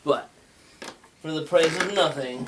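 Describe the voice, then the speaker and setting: Over clearly noticeable background noise, a man's pitch varies in an ordinary way. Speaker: talk show host. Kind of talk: casual monologue. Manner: rambling, halting.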